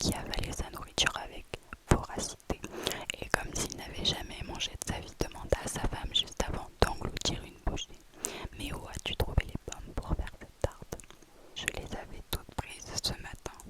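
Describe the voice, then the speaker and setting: Whispering at a moderate pace with big swings in loudness, a woman speaks over noticeable background noise. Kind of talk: horror story narration in whisper. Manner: whispered, close to the microphone.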